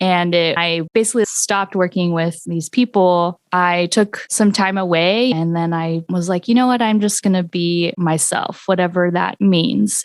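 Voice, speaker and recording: Recorded dry and close with no echo, a woman with a Californian accent speaks at a moderate pace in a fairly low voice with ordinary pitch variation. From US West Coast, southern Orange County, California. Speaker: singer-songwriter. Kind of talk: podcast interview.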